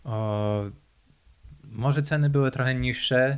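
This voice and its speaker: Speaking at a very slow pace with fairly even intonation, a man is heard in a very clean recording with a silent background. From Poland. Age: 20s. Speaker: interviewee, Polish emigrant in Australia. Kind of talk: casual interview conversation. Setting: in-person at his home.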